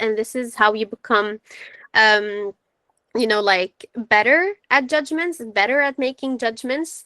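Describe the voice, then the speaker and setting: A woman's high, bright and sharp voice shows ordinary pitch variation, with a dry, close sound and no echo. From Syria. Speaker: psychology presenter. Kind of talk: webinar lecture.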